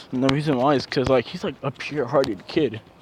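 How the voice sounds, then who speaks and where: Over noticeable background noise, a man speaks at a moderate pace with a medium pitch and ordinary pitch variation. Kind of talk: casual fan-fiction storytelling to camera. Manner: halting, stuttering, rambling.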